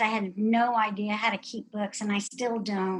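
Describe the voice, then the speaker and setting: The tone is bright and sharp, and the pace is moderate. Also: woman. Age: 60s. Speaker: pharmacist and nutrition specialist. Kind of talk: interview.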